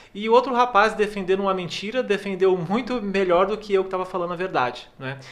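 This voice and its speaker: A man with a high pitch speaks fairly quickly, his pitch varying in an ordinary way. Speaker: podcast co-host. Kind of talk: casual podcast chat. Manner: soft-spoken.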